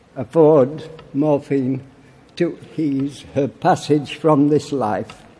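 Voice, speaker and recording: Noticeable background noise sits behind a man with a Yorkshire accent. He talks at a very slow pace with fairly even intonation. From Barnsley, Yorkshire, England. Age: 80s+. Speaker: political campaigner. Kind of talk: conference speech.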